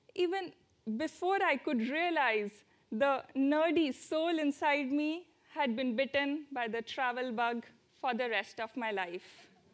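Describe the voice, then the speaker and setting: A woman speaks with an Indian accent at a high pitch. Her pace is fairly slow, and her intonation is lively. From India, near Delhi. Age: 20s. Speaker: student traveler. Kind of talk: talk to audience.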